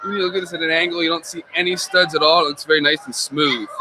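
With an American accent, a man speaks at a fairly quick pace, high in pitch with ordinary variation, in a dry sound with no echo over light background noise. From Nazareth, Pennsylvania. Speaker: hobbyist builder. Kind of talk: casual interview at convention. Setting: live stream at fan convention. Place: hall. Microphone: studio mic.

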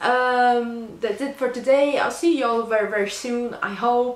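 With a Portuguese accent, a woman talks at a fairly slow pace and fairly high pitch, with audible room echo. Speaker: book reviewer. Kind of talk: book review vlog. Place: home room. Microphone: phone near.

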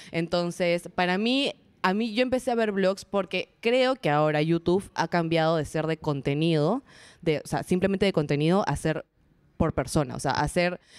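A woman with an ordinary speaking voice talks at a moderate pace and a fairly low pitch, her intonation lively and her loudness very even, in a very clean, dry, close recording with a silent background and no echo. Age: 20s. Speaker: booktuber and TV presenter. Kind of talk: interview before a live audience. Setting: event space with live audience.

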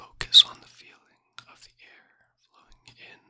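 A man's whisper at a very slow pace. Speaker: meditation guide. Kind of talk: guided meditation. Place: home room. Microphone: studio mic.

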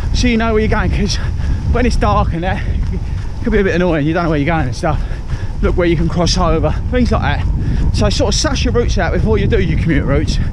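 A man talks at a very fast pace. The sound is dry with no echo, though background noise is noticeable. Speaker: running vlogger. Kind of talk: casual vlog chat, tips. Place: waterside. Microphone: phone near.

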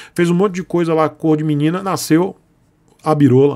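A man talks with ordinary pitch variation. All is quiet in the background. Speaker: motorcycle youtuber. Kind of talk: casual vlog chat. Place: home room.

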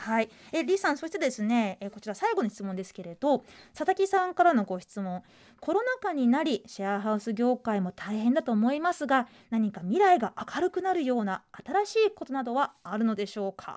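Over a quiet background, the speaker moves at a fairly quick pace with very wide pitch swings and big swings in loudness. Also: woman, high pitch for a woman. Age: 30s. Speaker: radio host. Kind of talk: casual chat. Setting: studio. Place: studio.

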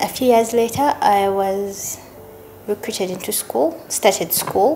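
Music runs behind the speech. The voice belongs to a woman. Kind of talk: interview answer. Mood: warm, grateful, reflective. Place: home room.

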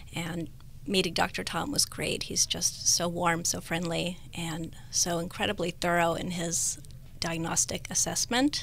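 A woman with an American accent speaks at a fairly slow pace, her voice fairly low-pitched. Her pitch varies in an ordinary way, with light background noise. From Northern California. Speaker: cosmetic patient, esthetician. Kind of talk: radio interview, testimony. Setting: radio studio. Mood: warm, appreciative. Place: studio. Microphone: studio mic.

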